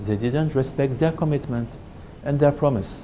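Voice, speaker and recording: The speaker has a French accent. Audible room echo fills the recording. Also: man. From France. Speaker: business trainer. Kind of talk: lecture. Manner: halting.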